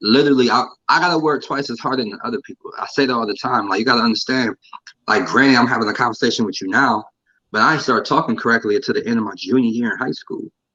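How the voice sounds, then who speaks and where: Bright and sharp in tone, a man's medium-pitched voice races along at a very fast pace with ordinary pitch variation. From Ohio, Canton. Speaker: battle rapper. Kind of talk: casual interview. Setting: live stream interview. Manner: halting with repetitions.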